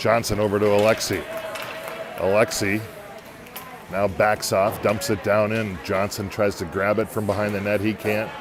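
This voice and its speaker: With noticeable background noise, a man in a fairly low pitch speaks monotone and flat at a moderate pace, pausing long and often. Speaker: amateur hockey play-by-play commentator. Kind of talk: live commentary. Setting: in the bleachers at an ice rink. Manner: quiet, golf-style low voice.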